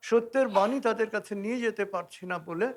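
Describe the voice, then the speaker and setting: A man is speaking here. His intonation is lively. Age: old. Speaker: spiritual teacher. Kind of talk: motivational talk.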